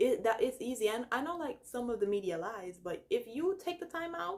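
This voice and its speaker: With a Jamaican accent, a woman speaks at a fairly high pitch with very wide pitch swings. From Jamaica, Saint Elizabeth. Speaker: YouTuber, college student. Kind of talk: casual vlog talk. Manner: animated.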